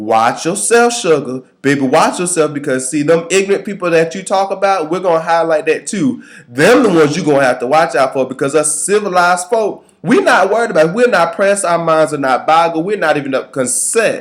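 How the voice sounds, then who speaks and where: A man with a strong Southern accent talks at a fairly quick pace in an animated tone, his high pitch carrying lively intonation, with hardly any pauses and noticeable background noise. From US South. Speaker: video commentator. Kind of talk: reaction commentary.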